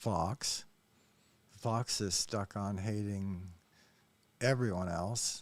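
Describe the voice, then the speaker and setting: In a very clean recording with a silent background, a man with an American accent speaks very slowly at a fairly low pitch, his intonation fairly even. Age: 60s. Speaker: YouTube commentator. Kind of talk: reaction commentary monologue. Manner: hesitant, many fillers.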